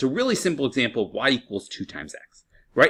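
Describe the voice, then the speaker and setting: A fairly high-pitched man with vocal fry and very wide pitch swings, against a quiet background. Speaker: high school math teacher. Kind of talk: lecture. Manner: animated.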